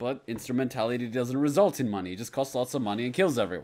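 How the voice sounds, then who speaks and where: Against a quiet background, the speech runs at a fairly quick pace with lively intonation. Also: man. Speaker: reaction video host. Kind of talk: casual reaction commentary. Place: home room. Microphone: studio mic.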